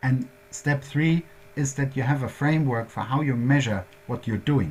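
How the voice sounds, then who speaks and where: Speaking at a fairly slow pace, a man with a German accent uses a medium pitch. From Germany. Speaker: workshop presenter on quality management. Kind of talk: lecture. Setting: workshop presentation. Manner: halting, many fillers.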